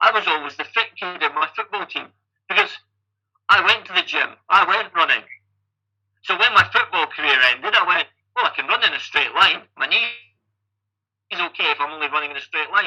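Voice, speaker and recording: A man with a Scottish accent and a high pitch, animated and bright and sharp in tone, with ordinary pitch variation, at a fairly quick pace broken by long, frequent pauses. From Scotland, Falkirk. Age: 50s. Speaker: triathlon coach and age-group athlete. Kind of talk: podcast interview.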